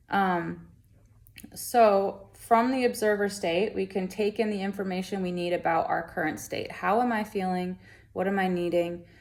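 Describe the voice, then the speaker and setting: With an unremarkable speaking voice, a woman keeps a medium pitch, a moderate pace and fairly even intonation. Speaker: wellness vlogger. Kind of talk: casual talk to camera.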